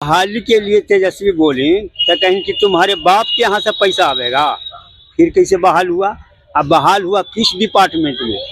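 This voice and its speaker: With lively intonation, this man speaks high over noticeable background noise. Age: 70s. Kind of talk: street interview answer. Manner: emphatic, argumentative.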